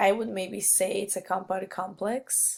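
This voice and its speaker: A woman speaks at a medium pitch with a non-native accent. Her pace is very slow. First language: not English. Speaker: student. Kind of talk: peer feedback recording. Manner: halting, many fillers.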